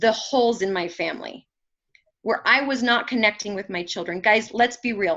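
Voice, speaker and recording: Loud and high-pitched, a woman talks with a bright, sharp tone and ordinary pitch variation. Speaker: motivational speaker. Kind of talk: motivational talk.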